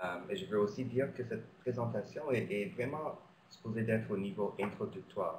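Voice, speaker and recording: A man with a non-native accent, medium pitch and very wide pitch swings, at a moderate pace, with audible room echo. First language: not French (speaking French). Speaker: physician and researcher. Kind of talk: lecture. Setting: webinar. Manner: halting, many hesitations.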